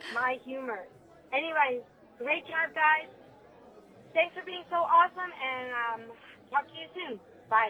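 A high-pitched woman at a fairly slow pace, with ordinary pitch variation, long, frequent pauses, and crowd noise in the background. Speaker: listener caller. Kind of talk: voicemail message. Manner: enthusiastic.

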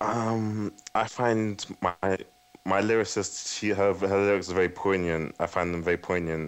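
A man with a London accent speaks in a very deep, low pitch with fairly even intonation. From West London, England. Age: 20s. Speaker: guitarist. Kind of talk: radio interview. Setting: Skype call. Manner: halting.

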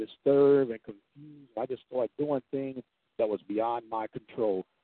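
A man's normal speaking voice with ordinary pitch variation. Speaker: radio host. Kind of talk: radio dj patter, station-ID and sound-check chatter. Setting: on the road, sound test. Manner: upbeat, chatty, punchy.

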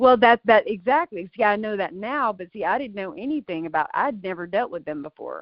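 With a normal speaking voice at a fairly high pitch, a woman talks at a fairly quick pace, her intonation lively and her loudness swinging widely. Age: 40s. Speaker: mother of a daughter in a custody case. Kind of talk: casual chat.

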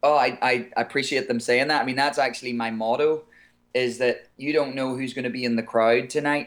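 In a very clean recording with a silent background, a man with an Irish accent talks fairly quickly at medium pitch, his intonation flat and monotone. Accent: Irish, somewhat softer than typical. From Ireland. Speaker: singer. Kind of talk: interview.

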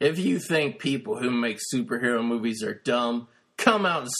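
Speaking at a moderate pace, a man with a medium pitch swings his pitch very widely. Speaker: podcast host, movie reviewer. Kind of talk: casual chat, profane banter. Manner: animated, excitable.

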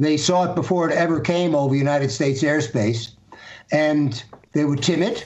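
The man has an unremarkable speaking voice with fairly high pitch and ordinary pitch variation. He talks at a moderate pace. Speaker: political commentator. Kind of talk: political commentary.

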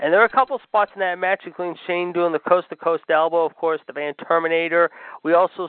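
This man's pitch is high. He speaks at a fairly quick pace. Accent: American. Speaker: radio host. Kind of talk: casual chat. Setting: studio. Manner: animated.

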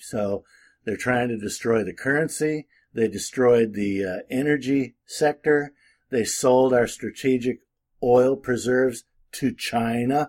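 A man with a plain, everyday voice speaks at a fairly slow pace in a medium pitch with ordinary pitch variation, in a very clean recording with a silent background. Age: 60s. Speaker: political commentator and legal advisor. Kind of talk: casual monologue. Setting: at home with window open.

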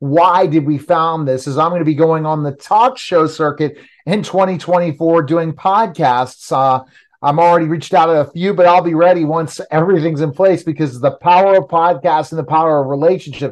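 With a plain, everyday voice, a man speaks at a moderate pace and fairly high pitch, his intonation fairly even over a quiet background. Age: 50s. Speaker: podcast host. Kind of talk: casual interview.

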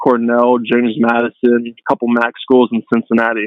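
Here a man speaks at a medium pitch. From Pittsburgh. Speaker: football draft prospect. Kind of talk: interview.

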